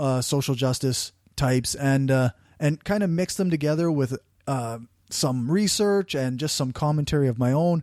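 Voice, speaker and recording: In a very clean recording with a silent background and a dry, close sound free of echo, a man with a strong Canadian accent speaks at a moderate pace, his tone dark and mellow, his pitch fairly high with ordinary variation. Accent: thick rural Canadian. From rural Canada. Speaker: podcaster. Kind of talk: interview conversation.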